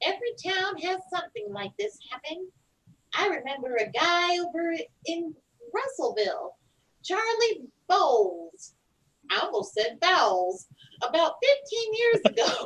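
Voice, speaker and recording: Using a put-on character voice, a woman speaks at an extremely high pitch with very wide pitch swings, a moderate pace and long, frequent pauses. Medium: stage play. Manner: brisk, officious.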